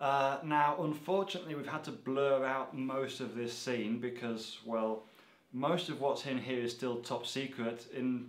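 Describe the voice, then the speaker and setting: This man's normally varied intonation is heard with audible echo from the room. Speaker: video host. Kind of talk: casual vlog chat. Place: factory.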